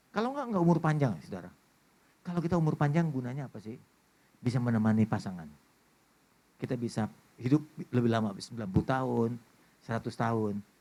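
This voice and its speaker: Talking at a very fast pace, a man with a dark, mellow tone uses lively intonation at a medium pitch. Long, frequent pauses break up his speech. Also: big swings in loudness. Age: 60s. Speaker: pastor. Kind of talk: sermon. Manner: animated.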